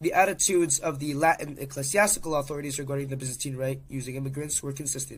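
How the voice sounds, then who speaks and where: Very fast and somewhat breathy, a man talks at a fairly high pitch with fairly even intonation. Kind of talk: history narration.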